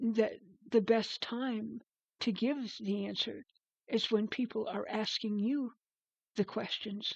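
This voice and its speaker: A woman's very slow, somewhat breathy voice, fairly high in pitch, with fairly even intonation. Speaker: spiritual advisor, spiritual teacher in certification training. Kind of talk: casual reflective podcast talk to camera. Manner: conversational, hesitant, with repeated words.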